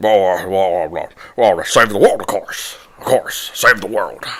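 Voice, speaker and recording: The speaker is a man using a put-on character voice. He talks at a moderate pace. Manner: eccentric, rambling, repeating himself.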